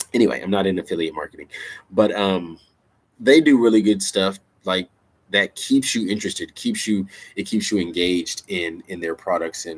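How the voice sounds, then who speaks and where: Ordinary pitch variation in a man's fairly low voice. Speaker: songwriter and author sharing creative advice. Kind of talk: casual vlog talk. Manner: fast; animated.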